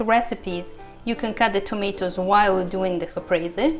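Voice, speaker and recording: Music plays in the background. A woman with an Italian accent talks at a moderate pace. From Italy. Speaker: food blogger and radio host. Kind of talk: cooking class instruction.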